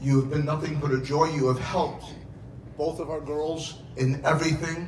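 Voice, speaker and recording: A fairly slow, fairly high male voice in monotone, flat intonation, with audible room echo and noticeable background noise. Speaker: father of the bride. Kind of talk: wedding speech. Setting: wedding reception with audience. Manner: loud; emotional, near tears.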